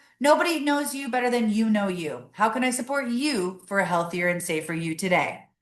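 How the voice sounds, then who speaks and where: A woman speaks at a fairly high pitch with very wide pitch swings. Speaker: executive director of a harm reduction agency. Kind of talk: webinar presentation. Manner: fast.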